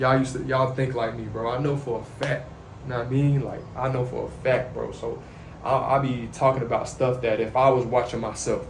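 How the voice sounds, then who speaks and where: A soft-spoken man talks fairly quickly at medium pitch in a flat monotone. Noticeable background noise and audible room echo fill the recording. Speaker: YouTuber sharing faith and life. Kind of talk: casual monologue to camera.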